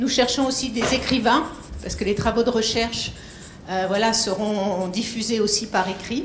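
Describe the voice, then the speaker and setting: A woman with a fairly high pitch speaks at a moderate pace with ordinary pitch variation, over noticeable background noise and audible room echo. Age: old. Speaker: foundation founder. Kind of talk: speech to an audience.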